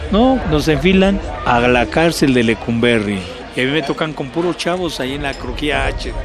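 Music plays in the background as a man with a fairly high pitch and lively intonation talks at a moderate pace, with audible room echo. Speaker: former student movement delegate and political prisoner. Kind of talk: testimony.

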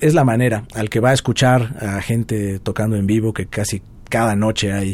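This man has an ordinary speaking voice, pitched fairly low, moving at a fairly quick pace with fairly even intonation in a very clean recording with a silent background. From Mexico, Puebla. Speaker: guitarist. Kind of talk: interview.

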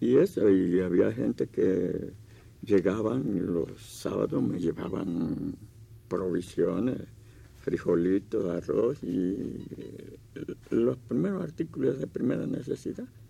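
Speaking at a very slow pace, a man uses a very deep, low pitch and a dark, mellow tone, with very wide pitch swings and vocal fry. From Veracruz, Mexico. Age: 80s+. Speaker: folk musician and poet. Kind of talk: interview. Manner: halting, repeats words.

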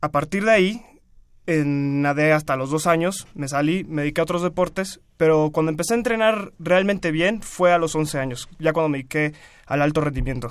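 Recorded very cleanly against a silent background, a man speaks at a moderate pace in a fairly high pitch with ordinary pitch variation and a plain, everyday voice. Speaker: university student and swimmer. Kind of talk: radio interview. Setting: radio studio.

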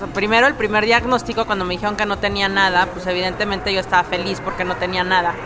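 Very fast, monotone, flat speech from a woman at medium pitch with hardly any pauses, audible room echo, and music in the background. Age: 30s. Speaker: breast cancer survivor. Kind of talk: testimony.

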